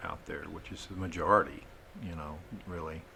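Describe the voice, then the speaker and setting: Audible room echo carries a man's very deep, low voice, flat and monotone, in a Texan accent. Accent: Texan US Southern. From southeast Texas. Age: 60s. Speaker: wastewater system designer, business owner. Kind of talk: podcast interview.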